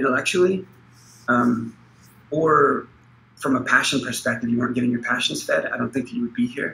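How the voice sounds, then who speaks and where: Talking at a very fast pace, a man has a bright, sharp tone at medium pitch, ordinary pitch variation, and vocal fry. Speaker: project lead. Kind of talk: online team meeting. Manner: halting.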